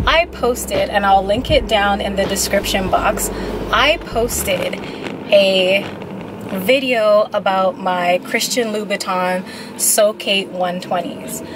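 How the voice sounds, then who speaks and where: A very slow pace with ordinary pitch variation, dry sound with no echo and noticeable background noise. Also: woman. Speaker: vlogger. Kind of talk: casual vlog chat. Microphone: phone near.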